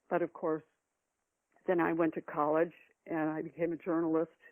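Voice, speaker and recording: A woman's fairly low, monotone voice with flat intonation, at a moderate pace, with an American accent. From US Midwest. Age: 70s. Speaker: novelist and retired psychologist. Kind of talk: interview. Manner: halting, many fillers and restarts.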